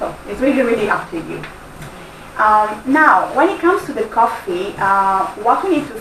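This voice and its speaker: Noticeable background noise and audible room echo surround a woman speaking at a moderate pace. She has a strong Italian accent and a fairly high pitch. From Italy. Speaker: workshop trainer. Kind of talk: workshop presentation.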